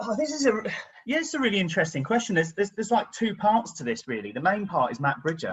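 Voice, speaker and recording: Very fast and high-pitched, a man speaks with an English accent. His pitch makes very wide swings. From England, Devon. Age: 50s. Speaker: interview guest, travel vlogger. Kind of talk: casual interview. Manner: hesitant, many fillers.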